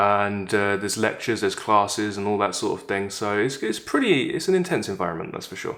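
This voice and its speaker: Speaking at a very fast pace, a man uses a fairly low pitch. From Essex, England. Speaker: YouTuber, Oxford graduate. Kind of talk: casual vlog monologue. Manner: informal, with many fillers.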